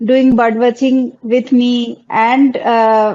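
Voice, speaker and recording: A woman's high-pitched voice with a Bengali accent. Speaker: wildlife content creator. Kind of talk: panel discussion.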